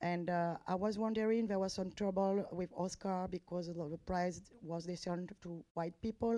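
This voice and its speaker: A woman speaks with a French accent at a medium pitch and a moderate pace. Her tone is dark and mellow, her intonation fairly even. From France. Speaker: journalist asking questions. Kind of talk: press conference question. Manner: halting, many hesitations.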